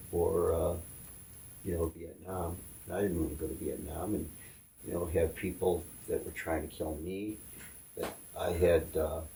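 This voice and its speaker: This man has a very deep, low pitch and a monotone, flat intonation, speaking at a moderate pace. He leaves long, frequent pauses, and there is noticeable background noise. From upstate New York (Syracuse). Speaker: tattoo artist. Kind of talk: interview.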